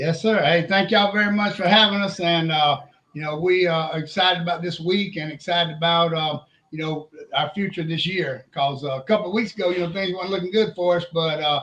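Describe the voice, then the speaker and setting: With an Alabama accent, a man speaks at a fairly quick pace and a high pitch, keeping his intonation fairly even. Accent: Southern US (Alabama). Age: 60s. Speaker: high school football coach. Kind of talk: casual interview.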